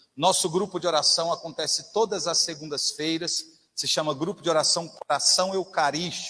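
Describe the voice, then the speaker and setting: At a moderate pace, a man talks in a high pitch with a bright, sharp tone and fairly even intonation. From interior of São Paulo state, Brazil. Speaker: lay preacher. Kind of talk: sermon. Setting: church.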